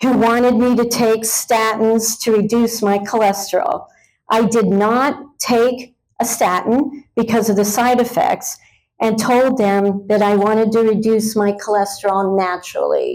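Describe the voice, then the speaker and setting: In an ordinary speaking voice, a woman talks at a fairly slow pace with a fairly high pitch, ordinary pitch variation and very even loudness. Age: 60s. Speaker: patient giving a testimonial. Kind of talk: testimony. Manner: measured, prepared delivery.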